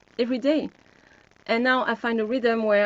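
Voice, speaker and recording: A woman talks in a French accent with fairly even intonation. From France. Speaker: health coach. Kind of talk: webinar group discussion.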